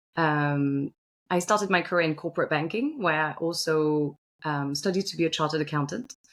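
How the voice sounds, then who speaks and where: A woman's very deep, low voice with a slight French accent, ordinary pitch variation and a fairly quick pace, in a very clean recording with a silent background. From Belgium. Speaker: finance executive. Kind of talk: interview. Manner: hesitant, many fillers and repeats.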